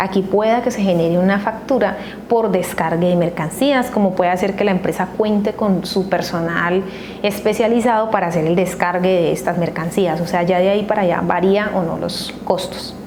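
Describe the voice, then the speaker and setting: A woman speaks at a moderate pace and medium pitch, with fairly even intonation and very even loudness. Noticeable background noise and audible room echo accompany her. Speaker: accounting educator. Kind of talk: tutorial.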